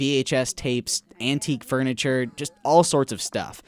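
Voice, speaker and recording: This man has an ordinary speaking voice at medium pitch with ordinary pitch variation. He goes at a fairly slow pace, with a dry, close sound and no echo. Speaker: podcast co-host. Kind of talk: casual chat and narrated field reporting. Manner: upbeat, laughs often.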